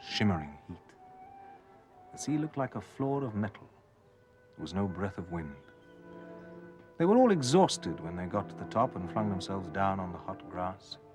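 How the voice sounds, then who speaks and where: A man's fairly low voice, lively in intonation, at a moderate pace with long, frequent pauses and music in the background. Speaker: actor. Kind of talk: ghost story reading.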